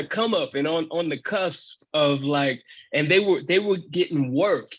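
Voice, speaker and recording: A man's high-pitched voice with an American accent, at a fairly slow pace with ordinary pitch variation, over a quiet background. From Carson, California. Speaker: former singer in a brother group. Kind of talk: interview answer. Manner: casual.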